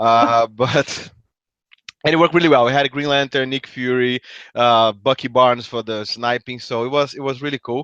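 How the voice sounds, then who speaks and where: Against a quiet background, a man with a Brazilian accent and medium pitch talks at a fairly quick pace with fairly even intonation. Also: dry, close sound with no echo. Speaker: tabletop game player. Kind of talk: casual chat.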